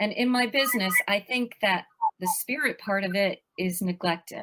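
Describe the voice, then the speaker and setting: A woman talks fairly slowly in a medium pitch, her pitch varying in an ordinary way. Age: 60s. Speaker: life coach and author. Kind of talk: podcast interview.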